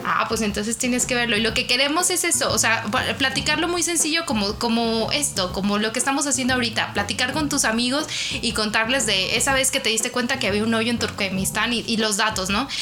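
A woman speaks at a fairly quick pace with lively intonation and a fairly high pitch. Her loudness stays very even, with audible room echo and music in the background. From Mexico, Guadalajara. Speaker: travel podcast co-host. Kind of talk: casual chat.

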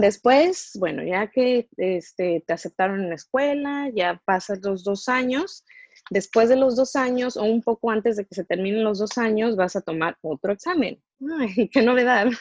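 Against a quiet background, a woman with a normal speaking voice talks at a fairly slow pace, her fairly high pitch rising and falling with lively intonation in a dry, close sound with no echo. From Mexico. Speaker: dentist. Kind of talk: interview.

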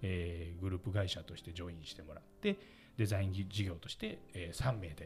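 A man with a very deep, low pitch talks at a fairly quick pace, his loudness swinging widely. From Osaka, Japan. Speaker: company president and podcast host. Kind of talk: seminar-style presentation.

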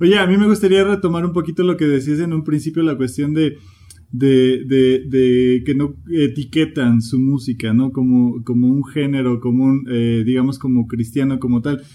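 A man talks in a plain, everyday voice, medium in pitch, moderately paced and with ordinary pitch variation. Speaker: podcast host. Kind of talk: interview.

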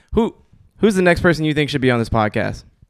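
In an American accent, a man talks at a very fast pace. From Portland, Oregon (Southeast Portland). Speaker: podcast host. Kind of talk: casual chat.

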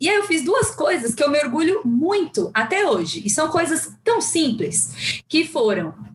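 A woman with a high pitch and very wide pitch swings speaks at a fairly slow pace with hardly any pauses and very even loudness over noticeable background noise. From Brazil, São Paulo (Guarulhos periphery). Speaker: psychologist. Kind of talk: casual interview.

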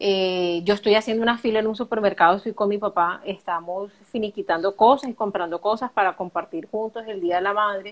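Using an ordinary speaking voice, a woman talks at a medium pitch and a fairly quick pace, with fairly even intonation and hardly any pauses. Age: 30s. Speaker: accountant. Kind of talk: personal testimony in interview. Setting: live video stream.

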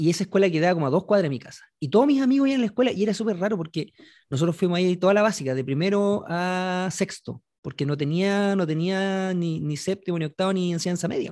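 With a Chilean accent, a man talks very fast in a high, dark, mellow voice with lively intonation on a very clean recording with a silent background. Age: 40s. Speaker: podcast host. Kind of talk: casual chat. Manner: animated.

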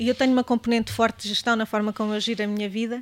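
A woman talks at a very fast pace with fairly even intonation. Her pitch sits fairly high. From Portugal, Beira Alta (Mangualde, near Viseu). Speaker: gastronome, hospitality professional. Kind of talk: casual chat over wine. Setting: seated at a table with hosts.

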